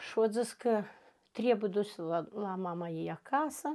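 In a very clean recording with a silent background, a woman with a medium-pitched voice speaks at a fairly slow pace with lively intonation. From northern Moldova, Drochia district. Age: 40s. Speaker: interviewee, domestic violence survivor. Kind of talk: personal testimony interview. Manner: halting.

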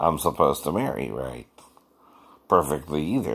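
Vocal fry marks this man's very deep, low voice. He speaks at a moderate pace. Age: 50s. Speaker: vlogger. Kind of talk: casual monologue. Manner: frequent laughing. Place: home room. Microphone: phone near.

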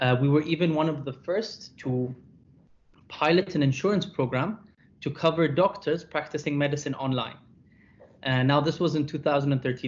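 This man's voice is somewhat breathy, with ordinary pitch variation. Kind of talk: lecture. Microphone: webcam.

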